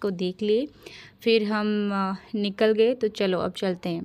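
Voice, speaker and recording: A woman with an Odia accent and a medium pitch, on a very clean recording with a silent background. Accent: Odia-accented Hindi. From Odisha, India. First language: Odia (speaking Hindi). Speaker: travel vlogger. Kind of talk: casual vlog narration. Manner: halting, many fillers.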